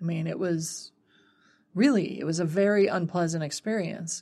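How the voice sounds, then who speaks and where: Against a quiet background, an unremarkable speaking voice moves at a fairly slow pace with fairly even intonation. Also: woman. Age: 40s. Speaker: herbalism podcast co-host. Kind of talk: casual chat. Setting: studio.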